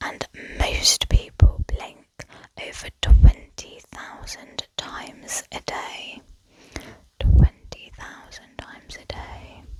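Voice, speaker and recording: Someone whispers at a very slow pace. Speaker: ASMR creator. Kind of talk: ASMR whispered facts. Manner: whispered.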